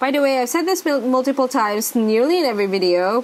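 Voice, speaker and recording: A woman's high voice rises and falls with lively intonation against noticeable background noise. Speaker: planner vlogger and sticker shop owner. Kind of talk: casual tutorial vlog. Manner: chatty, thinking aloud.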